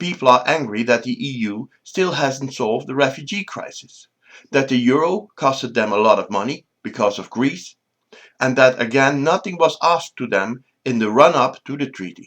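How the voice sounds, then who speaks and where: Talking at a moderate pace with a Dutch accent, a man of medium pitch uses lively intonation and big swings in loudness. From Netherlands. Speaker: political commentator. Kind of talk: opinion monologue.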